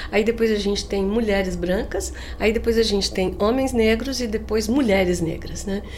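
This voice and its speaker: With audible room echo and noticeable background noise, a woman speaks at a moderate pace, her medium pitch carried in a fairly even intonation. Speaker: business school professor. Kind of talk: interview conversation.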